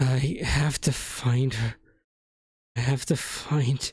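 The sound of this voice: A man's raspy, put-on character voice at a medium pitch, very slow in pace, with fairly even intonation.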